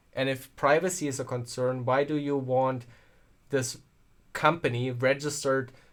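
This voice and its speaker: On a very clean recording with a silent background, a man speaks at a moderate pace, his medium-pitched voice monotone and flat in intonation. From Germany. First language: German. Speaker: tech streamer. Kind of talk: live stream chat. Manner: casual, halting with repeats.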